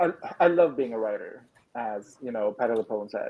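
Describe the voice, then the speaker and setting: A man speaks at a moderate pace. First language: not English. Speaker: writer, streamer. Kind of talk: casual chat.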